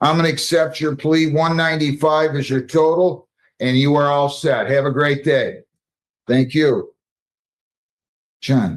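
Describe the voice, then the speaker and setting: Speaking at a fairly slow pace with long, frequent pauses, a man keeps a fairly high pitch, monotone, flat intonation and very even loudness. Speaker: judge. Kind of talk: court proceedings. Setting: courtroom. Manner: brisk.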